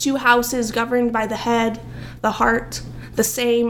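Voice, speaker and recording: Audible room echo around a woman's moderately paced speech. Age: young. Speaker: poet. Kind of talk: poetry reading; casual chat.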